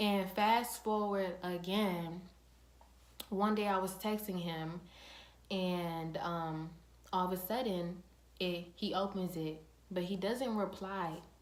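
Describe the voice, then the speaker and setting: A woman's medium-pitched voice at a very slow pace, with long, frequent pauses, fairly even intonation and noticeable background noise. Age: young. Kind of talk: casual storytime talk to camera.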